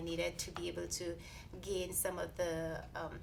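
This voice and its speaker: A woman speaks with a Saint Lucian accent at a fairly slow pace. Audible room echo surrounds her voice. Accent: Caribbean (Saint Lucian). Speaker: research scientist. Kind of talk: interview. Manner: halting, many fillers.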